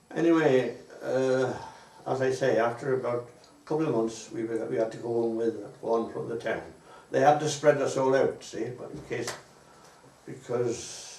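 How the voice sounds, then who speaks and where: A medium-pitched man with a South Welsh accent at a moderate pace, fairly even intonation, audible room echo and noticeable background noise. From Wales, Pembrokeshire. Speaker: war veteran. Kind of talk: oral history interview. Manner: halting.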